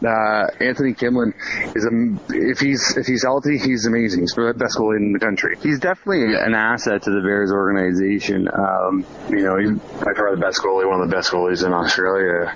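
A man talks at a fairly quick pace with a fairly low pitch and ordinary pitch variation. Noticeable background noise sits under his voice. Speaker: ice hockey assistant coach. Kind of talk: recorded interview.

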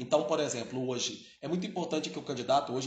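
A man's fairly high voice comes through noticeable background noise and audible echo from the room. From Brazil, Belo Horizonte (Minas Gerais). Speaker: geography teacher. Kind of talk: educational podcast interview. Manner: filler-heavy, frequent né and repetitions.

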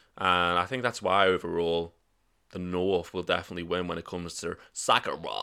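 The voice has a bright, sharp tone and a Liverpool accent, with fairly even intonation at a moderate pace. The recording is very clean with a silent background. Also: man, very deep, low pitch for a man. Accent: Scouse. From northern England. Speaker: podcast host. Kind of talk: casual chat.

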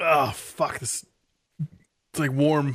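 A raspy put-on character voice from a woman, very deep and low in pitch. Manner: groaning, disgusted.

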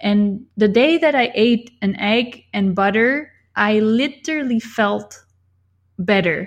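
Against a quiet background, the voice moves at a very slow pace with very even loudness and ordinary pitch variation. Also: woman, fairly high pitch for a woman. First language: not English. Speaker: YouTuber and e-book author. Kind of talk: casual interview chat.

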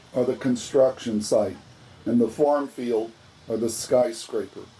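A man speaks at a medium pitch and a fairly slow pace, his intonation fairly even. Noticeable background noise runs behind him. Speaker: archbishop. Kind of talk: guided rosary meditation with reflective reading. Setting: outdoor grotto at a monastery. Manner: calm, measured, formal.

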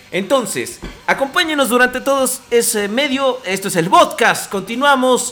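A man's raised, projected voice at an extremely high pitch, with ordinary pitch variation, a fairly slow pace, and noticeable background noise. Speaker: podcast host. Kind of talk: casual chat. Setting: live internet radio broadcast.

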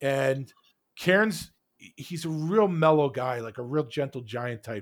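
A man talks with a New York accent. The recording is very clean, with a silent background. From New York, Queens. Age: 40s. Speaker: hockey podcaster. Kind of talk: casual interview.

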